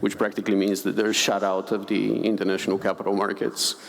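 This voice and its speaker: A man speaks in a Bulgarian accent with a fairly low pitch. Background noise is noticeable. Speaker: conservation finance director. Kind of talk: panel discussion.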